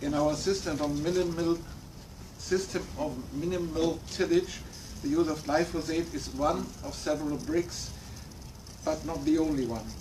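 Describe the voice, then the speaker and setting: This man, with a German accent, talks at a moderate pace and a fairly high pitch, using fairly even intonation and long, frequent pauses in a room with audible echo. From Germany. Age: 60s. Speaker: farmer. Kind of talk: prepared talk read from notes. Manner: halting.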